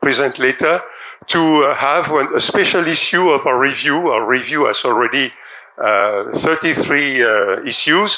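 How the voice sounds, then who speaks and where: Audible room echo surrounds a man's bright, sharp, fairly high-pitched voice, which uses ordinary pitch variation at a fairly slow pace. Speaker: professor. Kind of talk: lecture. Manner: halting.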